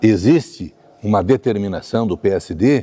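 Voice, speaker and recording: At a fairly slow pace, a man speaks in a dark, mellow tone, the sound dry and close with no echo. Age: 60s. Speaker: state legislator. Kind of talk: political interview. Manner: animated.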